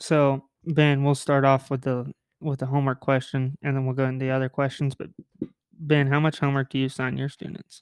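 A man with a fairly high pitch, monotone and flat, at a fairly quick pace, in a dry, close sound with no echo. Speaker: podcast host. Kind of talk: casual chat.

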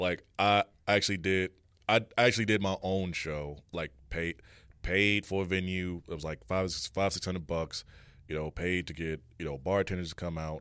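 Someone with an American accent speaks using fairly even intonation. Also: man, very deep, low pitch for a man, moderate pace, very clean recording, silent background. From Chicago South Side (Dolton area). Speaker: DJ. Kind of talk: casual chat. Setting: studio.

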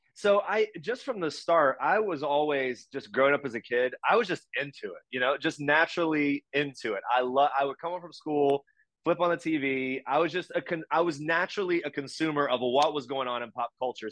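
An unremarkable speaking voice from a man with an American accent, fairly high in pitch with ordinary pitch variation, at a moderate pace, in a dry, close sound with no echo and a quiet background. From US South, West Virginia. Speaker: entertainment news journalist. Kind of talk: casual chat.

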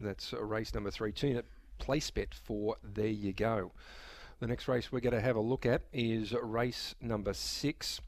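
At a fairly slow pace, a man talks in a medium pitch. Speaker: radio host. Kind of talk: casual radio chat. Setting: radio studio.

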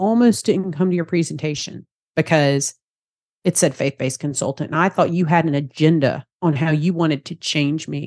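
Talking at a fairly quick pace with a Southern US accent, a woman has a very deep, low pitch with ordinary variation, in a dry, close sound with no echo over a quiet background. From US South, Georgia. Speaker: faith-based practice consultant and therapist. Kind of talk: casual interview chat.

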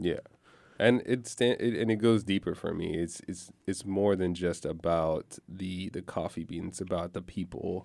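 With a very deep, low pitch, a man speaks at a fairly slow pace and with fairly even intonation. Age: 30s. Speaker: coffee shop owner. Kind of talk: radio interview. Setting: studio.

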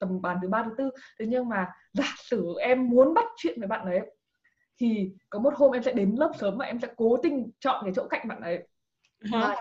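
Talking at a moderate pace with a normal speaking voice, a woman keeps a fairly high pitch and ordinary pitch variation. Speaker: scholarship advice page creator, former student abroad. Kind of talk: casual interview.

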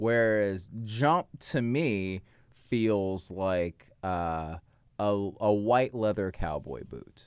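A fairly low-pitched man with an American accent, lively intonation and a very slow pace. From US South, Georgia (Marietta). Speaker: comedian. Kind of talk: casual chat.

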